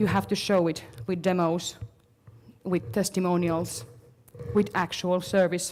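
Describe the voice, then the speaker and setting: Ordinary pitch variation and a moderate pace mark this woman's speech. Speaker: marketing consultant. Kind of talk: conference talk.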